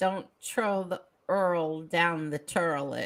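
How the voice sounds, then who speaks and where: A put-on character voice in a Brooklyn accent sits at a middle pitch. The delivery is very slow. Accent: old Brooklyn. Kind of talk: mispronouncing words comically.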